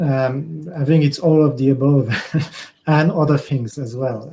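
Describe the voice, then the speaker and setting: A man with a French accent speaks at a fairly high pitch. His tone is dark and mellow, and his pace fairly slow. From France. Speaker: conference speaker. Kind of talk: panel Q&A. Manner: halting.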